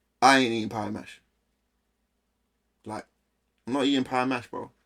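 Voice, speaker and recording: A man talks with a London accent in a monotone, flat intonation. The recording is very clean, with a silent background. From London, near Essex. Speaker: streamer reacting to videos. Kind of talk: casual live-stream reaction commentary. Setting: live stream. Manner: loud.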